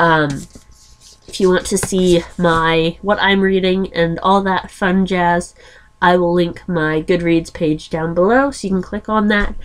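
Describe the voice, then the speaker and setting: Speaking at a very slow pace, a woman has a fairly low pitch and ordinary pitch variation. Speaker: book vlogger. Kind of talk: casual vlog monologue.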